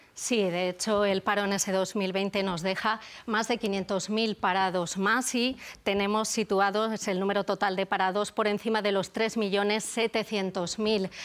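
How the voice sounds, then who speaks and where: On a very clean recording with a silent background, a woman at medium pitch speaks at a moderate pace in a flat monotone with very even loudness. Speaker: economics editor on TV news. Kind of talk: news analysis.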